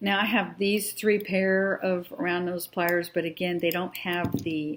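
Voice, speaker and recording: Speaking at a very slow pace, a woman holds a medium pitch with fairly even intonation. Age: 60s. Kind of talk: tutorial. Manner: casual, hesitant.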